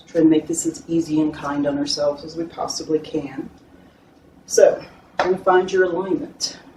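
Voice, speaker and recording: Against noticeable background noise, a woman speaks at a fairly low pitch. She keeps a moderate pace. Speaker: yoga instructor. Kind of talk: guided yoga class instruction.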